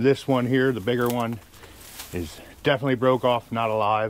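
This man talks at a moderate pace, and the sound is dry with no echo. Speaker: woodcutter vlogger. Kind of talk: casual vlog chat. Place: forest.

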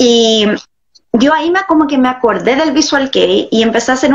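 A woman speaks in a Chilean accent at a moderate pace. Her voice is high, with ordinary pitch variation. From Viña del Mar, Chile. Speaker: guest. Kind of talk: interview answer. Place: home room. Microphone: video call.

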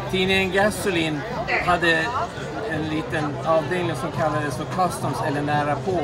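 Crowd noise fills the background. Over it, a man speaks at a moderate pace. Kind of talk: interview answer. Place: street. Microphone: phone near.

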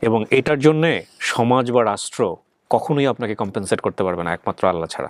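A man with a plain, everyday voice speaks at a medium pitch with lively intonation, the sound dry and close with no echo. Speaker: radio-style host of a family reunion show. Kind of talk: interview and moral commentary.

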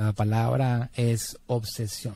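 Somewhat breathy and dark, mellow in tone, a man speaks with fairly even intonation in a dry sound with no echo. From Puerto Rico, San Juan. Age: 40s. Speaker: digital marketing entrepreneur; podcast guest. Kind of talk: interview conversation. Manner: halting, many fillers. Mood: earnest, reflective about late father. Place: studio. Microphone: studio mic.

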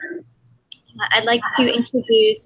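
A woman speaks with fairly high pitch and a fairly bright tone. Vocal fry and a slightly husky edge run through her voice.

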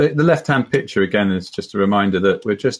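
A man's unremarkable speaking voice, fairly low in pitch with ordinary pitch variation, over a quiet background. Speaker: conference presenter. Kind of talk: conference presentation. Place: home room. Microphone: webcam.

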